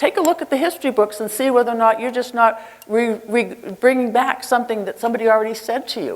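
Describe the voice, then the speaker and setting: A woman with an American accent talks at a very fast pace in a high pitch. Noticeable background noise is present. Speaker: nurse leader. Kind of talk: conference keynote speech. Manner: animated.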